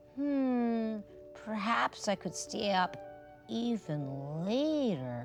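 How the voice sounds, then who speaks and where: A put-on character voice, fairly high in pitch, moves through very wide pitch swings at a very slow pace. Clear music plays in the background. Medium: read story.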